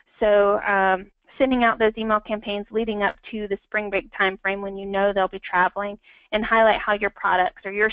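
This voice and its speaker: This is a woman speaking. Her voice sits at a medium pitch. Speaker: marketing strategist presenting a webinar. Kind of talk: webinar presentation. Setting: online webinar. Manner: fast; many filler words.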